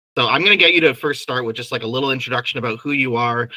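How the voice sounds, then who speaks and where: In a Canadian accent, a man talks at a very fast pace with a medium pitch and a bright, sharp tone. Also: dry, close sound with no echo. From Canada. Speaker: podcast host and author. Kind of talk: interview.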